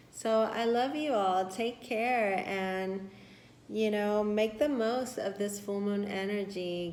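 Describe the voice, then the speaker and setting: Amid noticeable background noise and audible room echo, a woman speaks very slowly in a medium pitch with fairly even intonation. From Puerto Rico. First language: Spanish. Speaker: tarot reader. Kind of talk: tarot reading. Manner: warm, affirming.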